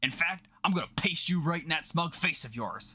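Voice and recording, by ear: Lively intonation marks this put-on character voice, which has a bright, sharp tone, a slightly husky edge and a moderate pace. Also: man, fairly high pitch for a man.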